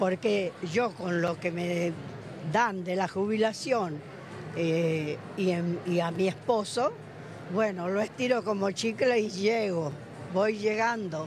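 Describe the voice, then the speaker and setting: A woman at a very slow pace, with ordinary pitch variation, a dry, echo-free sound and noticeable background noise. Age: 80s+. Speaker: retiree; interviewee. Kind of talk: street interview. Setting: outdoors. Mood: frank, somewhat indignant. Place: hall. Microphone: handheld.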